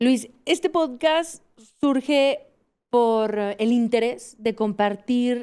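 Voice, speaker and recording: Speaking at a very slow pace, a woman uses a high pitch with ordinary variation. Her tone is dark and mellow. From Mexico, Aguascalientes. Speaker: podcast host and mountaineer. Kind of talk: interview.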